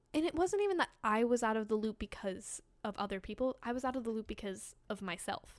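A woman with an American accent and an unremarkable speaking voice talks fairly quickly, with hardly any pauses. Her pitch is fairly high, with ordinary variation. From Boston. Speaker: actor. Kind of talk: casual chat.

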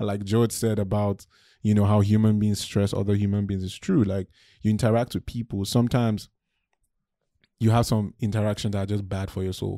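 A man's fairly low, dark, mellow voice, fairly quick in pace and monotone with flat intonation. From Nigeria. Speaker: musical artist and songwriter. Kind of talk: casual interview chat.

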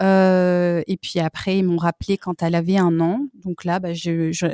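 In a very clean recording with a silent background and a dry, close sound with no echo, a woman speaks in a dark, mellow tone with monotone, flat intonation. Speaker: French teacher, expat mother. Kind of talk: casual interview.

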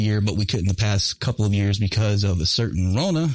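In a very clean recording with a silent background, a man with an American accent uses a normal speaking voice, fairly low in pitch with ordinary pitch variation. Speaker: veteran radio host. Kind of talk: casual chat. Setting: studio.

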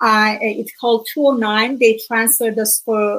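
Speaking with an Iranian accent, a woman has a fairly high pitch. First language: Farsi. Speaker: author and speaker. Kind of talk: interview, personal testimony. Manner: earnest, hesitant with fillers.

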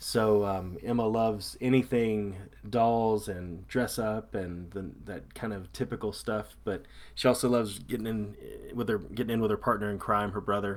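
Fairly low in pitch, a man talks with fairly even intonation. His pace is moderate. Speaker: podcast co-host. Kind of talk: casual chat. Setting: remote call from home. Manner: loud.

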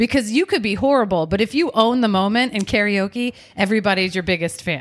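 The recording is very clean and the background silent. On it, a woman talks. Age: 40s. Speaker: podcast co-host. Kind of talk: casual chat.

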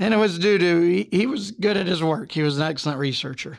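This is a man speaking. He has a Southern US accent. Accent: Southern American. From US South. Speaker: true crime podcast host, criminal defense attorney. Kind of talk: true crime storytelling. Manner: casual, joking.

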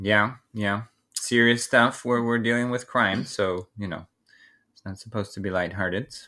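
A man uses a normal speaking voice at a fairly low pitch and a moderate pace, with fairly even intonation. His loudness swings a lot, on a very clean recording with a silent background. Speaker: podcast host. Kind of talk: casual chat, true crime podcast.

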